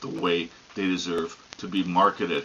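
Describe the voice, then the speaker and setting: Noticeable background noise surrounds a man with a very deep, low pitch. He talks at a moderate pace. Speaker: horse racing commentator. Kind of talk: casual opinionated commentary to camera. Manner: conversational, emphatic.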